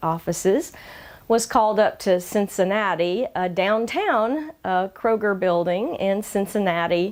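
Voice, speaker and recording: A woman with a Georgia accent, medium pitch, ordinary pitch variation and a fairly slow pace. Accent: Southern US (Georgia), slightly toned down. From Georgia, US South. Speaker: community interviewer, channel host. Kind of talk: personal introduction monologue. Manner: frequent filler hesitations.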